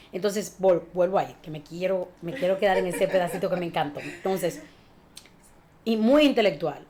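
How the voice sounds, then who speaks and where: Speaking at a moderate pace, a woman has a medium pitch and ordinary pitch variation. Her loudness swings a lot, and there is noticeable background noise. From Dominican Republic (Villa Altagracia). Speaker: communication and speech teacher. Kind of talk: interview. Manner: animated.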